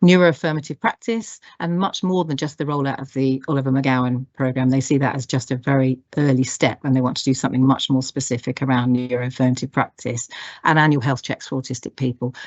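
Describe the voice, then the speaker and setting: A woman's very deep, low voice at a fairly quick pace, with hardly any pauses and ordinary pitch variation. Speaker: health programme lead. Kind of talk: conference presentation. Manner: fast.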